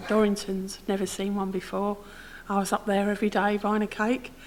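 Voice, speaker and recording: A woman at a fairly quick pace over noticeable background noise. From southern England, grew up in Harlow, Essex from age six. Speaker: local resident sharing memories. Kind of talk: interview, personal recollection.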